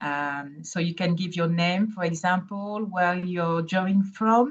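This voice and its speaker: With a strong French accent, a woman talks in a medium pitch, her somewhat breathy voice keeping a fairly even intonation. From Burkina Faso. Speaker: independent evaluator. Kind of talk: webinar presentation. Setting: online webinar. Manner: hesitant, many fillers.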